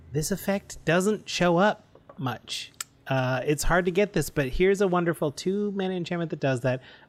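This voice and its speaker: This man speaks with a Canadian accent. His voice sits high in pitch. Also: ordinary pitch variation, moderate pace. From Canada. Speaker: podcast co-host. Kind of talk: casual chat.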